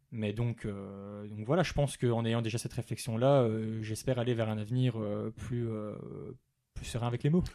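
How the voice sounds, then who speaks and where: A man's voice with a dark, mellow tone and fairly even intonation. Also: medium pitch for a man, moderate pace. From Belgium. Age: 20s. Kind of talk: podcast interview. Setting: coworking space. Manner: articulate, at ease speaking.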